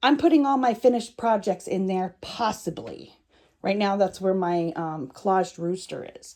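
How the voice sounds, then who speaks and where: A woman speaks at a medium pitch with a dark, mellow tone. The recording is very clean with a silent background. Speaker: crafter showing her art room. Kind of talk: casual vlog room tour. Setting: at home in a small craft room. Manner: hesitant, many fillers.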